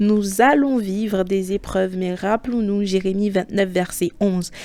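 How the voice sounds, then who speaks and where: The woman talks very slowly. Her voice has a dark, mellow tone. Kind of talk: bible reflection monologue. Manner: casual, halting.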